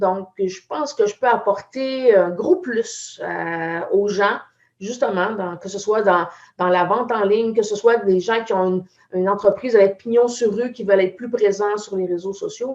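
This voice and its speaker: Using ordinary pitch variation, a woman with a Quebec accent and a medium pitch speaks at a fairly slow pace. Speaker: IT entrepreneur. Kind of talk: live video chat.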